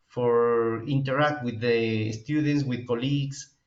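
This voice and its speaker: In a Peruvian accent, a man speaks fairly slowly at a medium pitch with ordinary pitch variation, and the room echo is audible. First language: Spanish. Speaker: professor and epidemiologist. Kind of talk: webinar lecture. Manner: halting.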